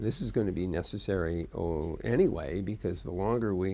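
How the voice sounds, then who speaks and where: At a moderate pace, a man speaks in a very deep, low pitch with a dark, mellow tone, vocal fry and ordinary pitch variation. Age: 70s. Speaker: internet pioneer, tech executive. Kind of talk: interview answer.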